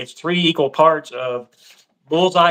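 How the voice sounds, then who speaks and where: A man with a fairly high pitch and an ordinary speaking voice. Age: 60s. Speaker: cigar box guitar builder. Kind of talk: casual chat.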